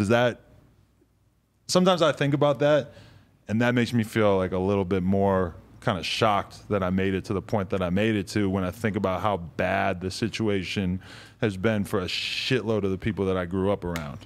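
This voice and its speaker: A man with a New England accent talks at a fairly quick pace, his fairly low pitch rising and falling in an ordinary way. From New Hampshire. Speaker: podcast host. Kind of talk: casual interview. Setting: studio.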